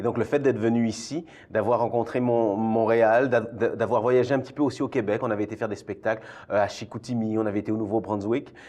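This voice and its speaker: With a Belgian accent, a man talks at a fairly quick pace and medium pitch. His tone is dark and mellow, and his intonation is monotone and flat. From Belgium, Brussels. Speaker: theatre artistic director. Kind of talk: interview.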